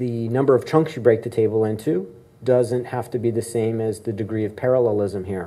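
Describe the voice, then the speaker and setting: The man's speech moves at a moderate pace. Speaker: conference keynote speaker. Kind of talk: lecture. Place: hall. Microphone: camera far.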